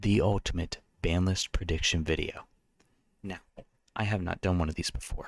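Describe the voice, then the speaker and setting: Very deep and low in pitch, a soft-spoken man talks at a moderate pace with fairly even intonation. He leaves long, frequent pauses. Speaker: card game content creator. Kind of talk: casual commentary video. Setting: at home late at night. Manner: hesitant with fillers.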